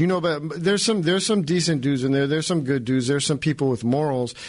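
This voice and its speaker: This man's pitch sits fairly high and shows ordinary variation. He speaks at a very fast pace. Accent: American. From California. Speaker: former federal prisoner turned writer and filmmaker. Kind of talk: casual interview chat. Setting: radio studio.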